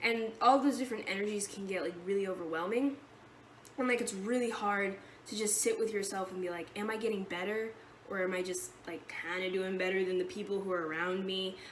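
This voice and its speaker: A woman with a medium pitch speaks at a fairly quick pace with ordinary pitch variation, amid noticeable background noise and audible room echo. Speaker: vlogger sharing eating disorder treatment experience. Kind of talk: casual vlog monologue. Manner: fast; rambling, jumping between topics.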